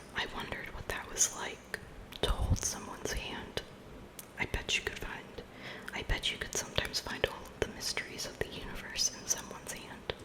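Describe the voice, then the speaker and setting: Whispering at a moderate pace is heard against noticeable background noise. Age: 20s. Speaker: ASMR creator. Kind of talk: ASMR book collection show-and-tell. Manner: whispered; soft-spoken.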